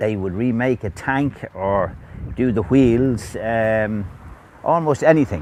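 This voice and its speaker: A man's medium-pitched voice, very slow, with ordinary pitch variation. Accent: Dublin. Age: 70s. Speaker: vintage motorbike restorer. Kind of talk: oral history interview. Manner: hesitant, many fillers.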